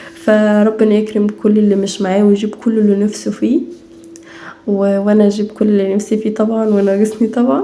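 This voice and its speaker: Over noticeable background noise, a woman with a fairly high pitch talks at a fairly quick pace, her intonation monotone and flat and her loudness very even. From Egypt, Minya (Upper Egypt). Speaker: home and family vlogger. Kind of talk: casual vlog chat. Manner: natural, unaffected speech; halting, with fillers and restarts.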